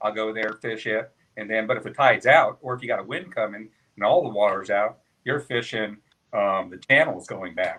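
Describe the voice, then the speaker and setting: This man has a plain, everyday voice, fairly low in pitch, with ordinary pitch variation and big swings in loudness. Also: moderate pace. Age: 60s. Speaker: kayak angler. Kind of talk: casual chat.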